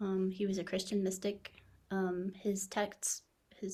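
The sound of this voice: Reading in an unforced voice.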